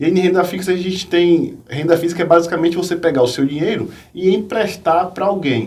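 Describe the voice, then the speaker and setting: Audible room echo surrounds a man with a Bahian accent who speaks somewhat breathily at a fairly quick pace. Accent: Bahian Brazilian Portuguese, noticeable. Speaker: finance professor and investor. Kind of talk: interview on investing.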